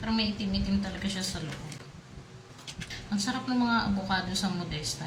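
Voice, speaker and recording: A soft-spoken woman talks at a fairly quick pace. Noticeable background noise and audible room echo surround her. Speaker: food vlogger. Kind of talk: casual eating vlog.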